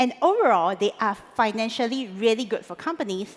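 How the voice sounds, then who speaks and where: A woman speaks with a Singaporean accent and fairly high pitch. Her intonation is lively. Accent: Singlish. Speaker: conference speaker. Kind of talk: conference talk. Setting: stage with audience.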